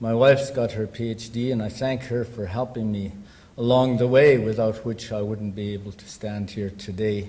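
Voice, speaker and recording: A somewhat breathy, medium-pitched male voice at a moderate pace, fairly even in intonation, with big swings in loudness and audible room echo. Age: 60s. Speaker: academic speaker. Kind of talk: conference presentation. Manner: halting, many fillers.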